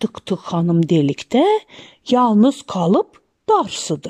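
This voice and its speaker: A woman talks very slowly at a medium pitch, with a dry, close sound and no echo. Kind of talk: rhythmic folk tale narration. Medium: read story.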